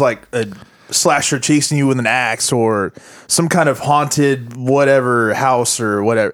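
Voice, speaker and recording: Speaking with an American accent, a man uses a fairly high pitch, ordinary pitch variation and very even loudness. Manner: joking, quipping.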